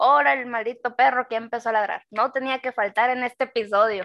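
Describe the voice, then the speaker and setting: Against a quiet background, a woman speaks fairly quickly in a high pitch with fairly even intonation and a dry, close sound with no echo. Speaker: podcast co-host. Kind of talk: casual chat.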